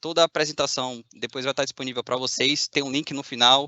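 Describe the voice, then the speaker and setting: A man with a fairly high pitch moves along at a fairly quick pace. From Bahia, Brazil. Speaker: machine learning engineer. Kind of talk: conference talk. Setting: video call from a factory.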